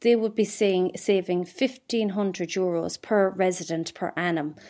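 Here a woman with an Irish accent talks at a medium pitch with ordinary pitch variation. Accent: Irish (Mayo). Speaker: entrepreneur. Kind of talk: interview. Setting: remote recording. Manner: halting.

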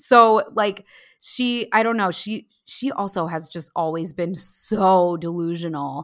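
A woman with a Valley Girl accent sounds animated, with ordinary pitch variation, in a very clean recording with a silent background. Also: fairly low pitch for a woman, fairly slow pace. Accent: American, self-described Valley Girl. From US, New Jersey Shore. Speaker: writer and comedian. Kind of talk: casual chat.

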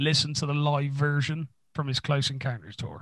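A man speaks with an English accent. He keeps a moderate pace. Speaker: music podcast co-host. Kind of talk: casual chat. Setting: home recording room.

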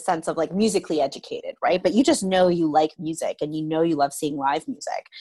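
Against a quiet background, a woman speaks in an unremarkable speaking voice. Her pitch is fairly low and her pace fairly quick. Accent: Canadian. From London, Ontario, Canada. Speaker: music festival director. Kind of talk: interview.

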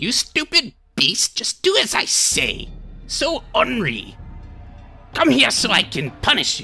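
A put-on character voice at a fairly slow pace, broken by long, frequent pauses. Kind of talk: put-on vocal impression. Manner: impatient, scolding.

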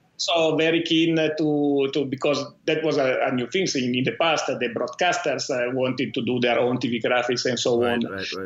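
Over noticeable background noise, a man with an Italian accent speaks at a moderate pace in a fairly high pitch with ordinary pitch variation. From Italy. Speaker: tech company founder and CEO. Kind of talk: interview. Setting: remote call.

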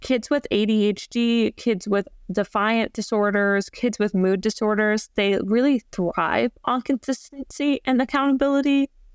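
In a plain, everyday voice, a woman with a fairly high pitch speaks at a fairly slow pace with ordinary pitch variation and very even loudness. The recording is very clean, with a silent background and a dry, close sound with no echo. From US South, Georgia. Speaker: marriage and family therapist. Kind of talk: interview.

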